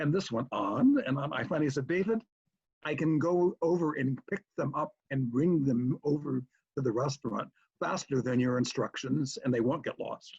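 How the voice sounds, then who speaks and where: This man has a fairly high pitch and a somewhat breathy voice, with an American accent. The sound is dry and close, with no echo. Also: ordinary pitch variation, moderate pace. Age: 70s. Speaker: convention founder. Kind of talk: storytelling.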